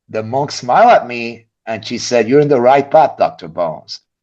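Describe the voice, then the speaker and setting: Vocal fry runs through a man's animated delivery. He keeps a moderate pace against a quiet background. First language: not English. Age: 50s. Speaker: physician. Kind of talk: casual chat.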